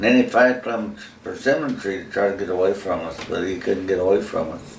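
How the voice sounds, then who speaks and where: A man with an Appalachian accent and fairly low pitch speaks at a moderate pace with noticeable background noise. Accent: rural Southern US, Appalachian. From North Carolina, USA. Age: old. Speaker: retired farm-raised man, father of the channel owner's husband. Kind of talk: interview answer, storytelling about childhood. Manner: casual, folksy, humorous.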